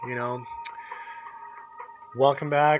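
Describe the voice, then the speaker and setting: A man's fairly high voice, fairly even in intonation, against noticeable background noise. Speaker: RC hobby youtuber. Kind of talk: product review. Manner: casual, hesitant with fillers.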